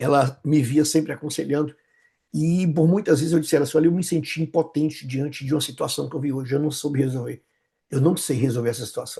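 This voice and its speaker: A man with a fairly high voice talks at a very fast pace with fairly even intonation, his tone dark, mellow and somewhat breathy. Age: 60s. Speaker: pastor and psychoanalyst. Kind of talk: interview conversation. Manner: halting, with many repetitions.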